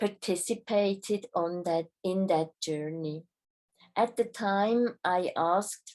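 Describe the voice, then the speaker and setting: Against a quiet background, a woman with a non-native accent speaks at a very slow pace in a dark, mellow tone. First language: not English. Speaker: spiritual travel guide. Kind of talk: reading aloud a travel report. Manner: formal.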